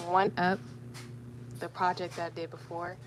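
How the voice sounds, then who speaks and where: A woman speaks. Her voice is quiet. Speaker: crafting YouTuber. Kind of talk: live stream Q&A while crafting. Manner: hesitant.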